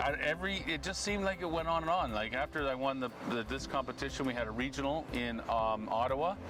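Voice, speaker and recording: Very fast speech from a man at very even loudness, with noticeable background noise. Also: medium pitch for a man, lively intonation. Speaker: town crier. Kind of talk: interview answer. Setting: outdoors.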